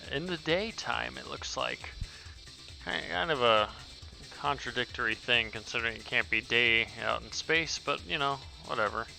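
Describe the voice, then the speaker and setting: Over music in the background, a man at medium pitch speaks at a fairly slow pace, with very wide pitch swings and big swings in loudness. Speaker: indie game developer. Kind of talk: casual game update commentary.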